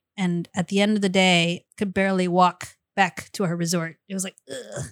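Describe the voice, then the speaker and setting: In an ordinary speaking voice, the speaker talks at a moderate pace with fairly even intonation, and the sound is dry and close with no echo. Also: woman. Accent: American. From US South, Virginia. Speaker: martial arts actor and stunt performer. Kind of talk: casual chat. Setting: studio.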